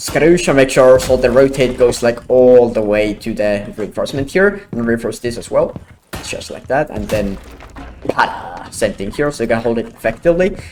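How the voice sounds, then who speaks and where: A man with a non-native accent uses lively intonation over noticeable background noise. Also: medium pitch for a man. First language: not English. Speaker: gaming content creator. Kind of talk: gameplay tutorial. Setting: home, with wife sleeping in next room. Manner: fast; quiet, held down.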